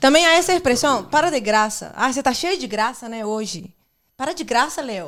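The voice, in a Portuguese accent, moves at a fairly quick pace with very wide pitch swings. The recording is very clean, with a silent background. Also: woman, high pitch for a woman. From Brazil. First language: Portuguese (speaking Spanish). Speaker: guest. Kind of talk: casual chat.

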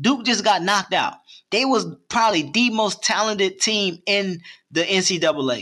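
A man's raised, projected voice with an American accent, high in pitch, at a moderate pace with ordinary pitch variation. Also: very even loudness. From New Jersey. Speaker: former college football player. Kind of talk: casual chat.

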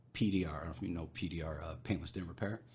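A man with a very deep, low pitch speaks in a somewhat breathy voice. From Arizona, small copper mining town. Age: 40s. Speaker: entrepreneur. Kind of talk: casual chat. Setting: rented podcast studio.

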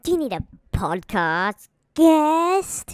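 A squeaky, high-pitched put-on character voice comes through on a very clean recording with a silent background. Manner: playful.

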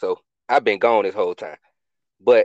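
A man talks with an American accent. The sound is dry and close, with no echo. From Atlanta, US South. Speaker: podcast founder, military veteran. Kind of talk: casual chat.

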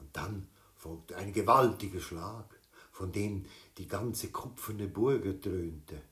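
Pitch varies in an ordinary way as the speaker reads aloud in a natural voice.

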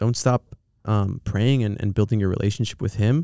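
Speaking with an American accent, a man keeps a moderate pace in a dark, mellow tone. The recording is very clean, with a silent background. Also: dry, close sound with no echo. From Southern California. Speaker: film producer. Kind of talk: casual chat. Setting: studio.

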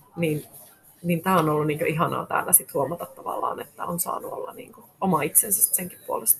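A woman's loudness swings widely against noticeable background noise. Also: fairly quick pace. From Finnish Lapland, Rovaniemi. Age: 30s. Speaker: fashion shop owner. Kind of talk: interview. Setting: shop in a shopping centre.

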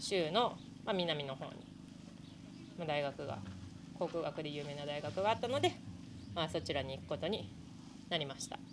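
A woman with a very deep, low voice and vocal fry speaks at a moderate pace, her pitch swinging very widely, with long, frequent pauses. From Japan, Hokkaido (Sapporo). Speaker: professional gravel cyclist. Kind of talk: casual interview. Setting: outdoors at event venue.

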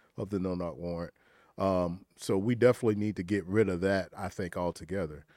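A man speaks at a fairly quick pace with a very deep, low pitch, a dark, mellow tone and fairly even intonation. The recording is very clean, with a silent background. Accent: Southern US. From rural South Carolina. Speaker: entrepreneur, political commentator. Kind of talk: panel discussion.

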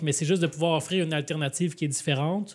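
A man in an ordinary speaking voice, fairly high in pitch with fairly even intonation, on a very clean recording with a silent background. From Quebec, Laval. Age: 30s. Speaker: mayor and author. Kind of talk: live podcast interview. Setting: public event with audience.

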